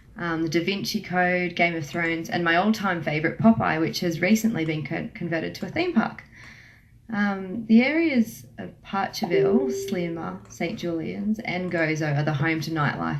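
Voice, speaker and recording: A woman with an Australian accent speaks at a moderate pace, her intonation lively and her pitch fairly low. Noticeable background noise runs underneath. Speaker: travel agent. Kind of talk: radio interview.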